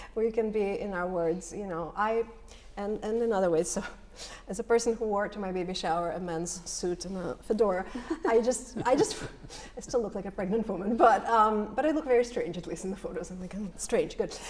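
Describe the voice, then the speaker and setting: Over noticeable background noise, the speech goes at a fairly quick pace with ordinary pitch variation. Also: woman, medium pitch for a woman. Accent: slight Russian. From former Soviet Union. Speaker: poet. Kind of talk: panel discussion.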